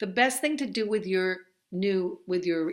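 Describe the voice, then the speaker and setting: With a New Jersey accent, a woman speaks at a medium pitch. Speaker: college instructor. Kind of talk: online course introduction. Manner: conversational, with fillers.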